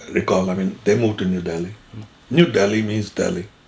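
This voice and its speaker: This man's fairly low voice comes through noticeable background noise. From Punjab, Pakistan. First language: Derawali (Saraiki). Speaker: Partition survivor. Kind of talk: interview answer.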